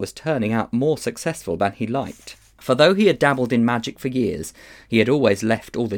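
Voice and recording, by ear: A passage is read aloud here in a natural voice.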